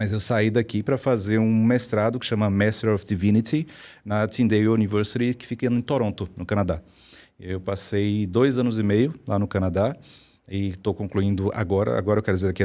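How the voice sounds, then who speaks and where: At a fairly quick pace, a man with a strong Bahian accent speaks fairly low with fairly even intonation, on a very clean recording with a silent background. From Brazil, Bahia. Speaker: psychologist and professor. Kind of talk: interview.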